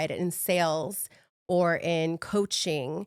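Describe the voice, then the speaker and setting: A woman with a Spanish accent and a fairly low pitch speaks at a very slow pace on a very clean recording with a silent background. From Mexico City, moved to US as a child. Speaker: fitness coach. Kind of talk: podcast interview. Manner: halting, self-correcting.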